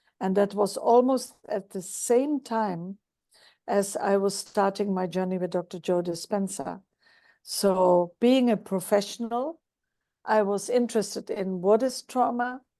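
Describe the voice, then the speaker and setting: Over a quiet background, a woman speaks fairly slowly in a plain, everyday voice at medium pitch with ordinary pitch variation. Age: 60s. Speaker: psychologist sharing her healing journey. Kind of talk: interview testimony.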